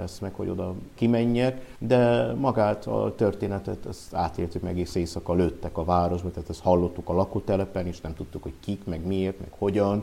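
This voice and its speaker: In an ordinary speaking voice, a man talks at a fairly low pitch and moderate pace with ordinary pitch variation. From Transylvania, Romania. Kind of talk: interview.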